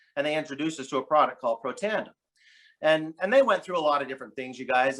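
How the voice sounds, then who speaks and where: At a very fast pace, a man with an American accent talks in a fairly high pitch with a bright, sharp tone. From southern Utah. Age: 50s. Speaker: network marketing distributor. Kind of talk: testimony. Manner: repetitive, halting restarts.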